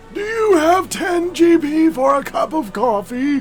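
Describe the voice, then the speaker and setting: A man puts on a character voice at a fairly slow pace. Clear music plays in the background. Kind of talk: game role-play voice.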